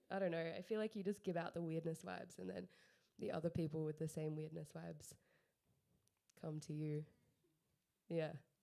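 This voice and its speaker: This woman has a very deep, low pitch and a dark, mellow tone, with an Australian accent. She talks at a fairly quick pace with ordinary pitch variation, leaving long, frequent pauses. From Australia, Mornington, Victoria. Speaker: music industry panelist. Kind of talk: panel discussion.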